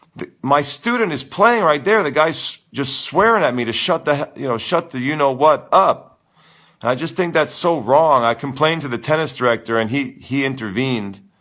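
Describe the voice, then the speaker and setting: A man speaks at a moderate pace, loud and animated, in a fairly high pitch with a bright, sharp tone. His intonation is lively, and the recording is very clean with a silent background. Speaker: tennis coach. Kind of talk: live Q and A stream. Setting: live stream.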